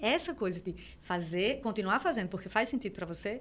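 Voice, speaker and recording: The speaker talks at a fairly quick pace, in a slight northeastern Brazilian accent. Intonation is lively. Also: woman. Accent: mild northeastern Brazilian. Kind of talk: thoughtful, conversational.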